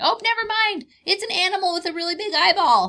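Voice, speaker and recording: A woman's squeaky, put-on character voice at an extremely high pitch. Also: fairly quick pace. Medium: read story. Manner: comic, exaggerated.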